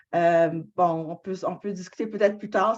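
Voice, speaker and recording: A woman talks at a medium pitch, keeping her intonation fairly even. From Canada. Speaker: book club moderator. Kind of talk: moderated discussion.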